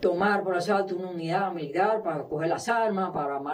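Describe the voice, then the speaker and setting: Pitched high, a man's voice shows ordinary pitch variation. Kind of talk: interview answer. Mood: subdued, flat recounting.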